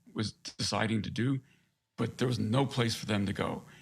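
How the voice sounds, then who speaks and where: A man with an ordinary speaking voice talks with an American accent at a medium pitch, a moderate pace and fairly even intonation. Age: 60s. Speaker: navy veteran, author. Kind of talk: interview.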